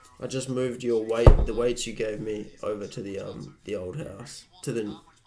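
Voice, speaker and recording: A man speaks at medium pitch with music in the background. Room echo is audible. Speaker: live streamer. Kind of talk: casual live-stream chat. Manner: casual, rambling with fillers.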